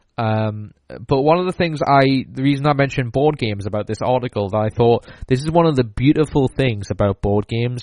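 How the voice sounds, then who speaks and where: At a fairly quick pace, a man talks in a Geordie accent with ordinary pitch variation. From northeast England, Newcastle. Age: 20s. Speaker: podcast host. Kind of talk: solo podcast monologue.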